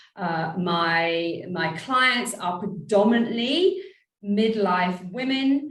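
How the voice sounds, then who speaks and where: In a British accent, a woman speaks at medium pitch with a somewhat breathy voice and audible room echo. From Britain. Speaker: empowerment and abundance coach. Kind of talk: interview podcast.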